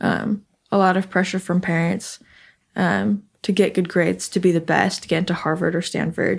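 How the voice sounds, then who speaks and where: In an American accent, a woman with a fairly low voice and vocal fry speaks at a moderate pace with fairly even intonation and very even loudness. The recording is very clean, with a silent background. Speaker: recent college graduate, software engineer. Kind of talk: interview, personal conversation.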